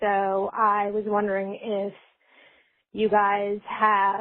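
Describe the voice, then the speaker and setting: Speaking at a very slow pace, a woman keeps her medium-pitched voice monotone with flat intonation. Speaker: caller. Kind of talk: voicemail question.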